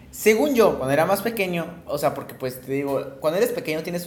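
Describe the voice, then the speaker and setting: Over noticeable background noise, a man talks at a fairly quick pace. His pitch is fairly high and his intonation lively. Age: 20s. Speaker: podcast co-host. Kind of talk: casual chat.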